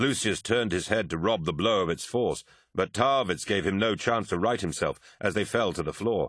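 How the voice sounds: Lively intonation from a natural reading voice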